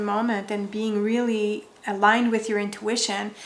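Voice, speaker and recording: A woman's fairly high voice at a fairly slow pace, monotone and flat in intonation, with audible room echo. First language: French. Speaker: wellness content creator. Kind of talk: direct-to-camera vlog.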